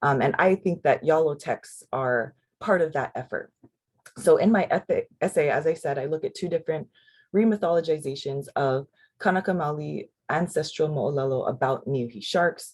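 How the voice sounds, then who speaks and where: A woman speaks with a very deep, low pitch and a somewhat breathy sound. Her pace is moderate and her pitch variation ordinary. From Hawaii. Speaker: literature scholar, panelist. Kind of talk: academic panel presentation.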